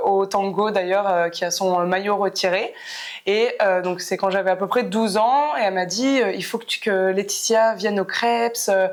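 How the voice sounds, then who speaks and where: At a moderate pace, a woman talks with fairly even intonation in a very clean recording with a silent background. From France, Clermont-Ferrand. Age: 30s. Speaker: professional basketball player. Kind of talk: podcast interview. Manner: hesitant, many fillers.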